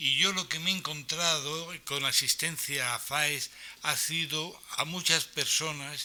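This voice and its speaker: The man speaks at a very slow pace. His voice is fairly high, with fairly even intonation. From Spain, Alicante province (Aspe, Elche). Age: 60s. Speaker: person living with Alzheimer's, speaker at awareness event. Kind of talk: reading aloud a prepared personal testimony. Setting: conference hall with audience.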